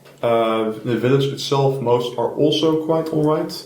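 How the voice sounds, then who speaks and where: Audible room echo and noticeable background noise surround this recording. A man speaks with fairly even intonation. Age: young. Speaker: trip participant. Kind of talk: casual group discussion.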